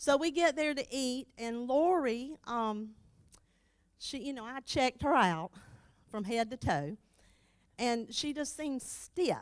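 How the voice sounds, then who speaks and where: A loud woman's voice, high-pitched with an animated tone and lively intonation, at a fairly slow pace with long, frequent pauses. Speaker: church member, board member's wife. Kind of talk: tribute speech.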